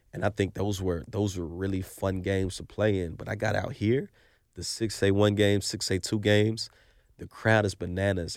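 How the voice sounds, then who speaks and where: The recording is very clean, with a silent background, and a man speaks in a normal speaking voice. His pitch is fairly low, his pace fairly quick and his intonation fairly even. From Oklahoma City. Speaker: former college football cornerback. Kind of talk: casual sports chat.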